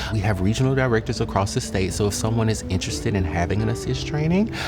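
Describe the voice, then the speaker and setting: Fairly low-pitched male voice at a very fast pace, with very wide pitch swings, very even loudness and music in the background. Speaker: youth programs director and suicide prevention trainer. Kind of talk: interview answer. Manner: earnest, hesitant with filler words.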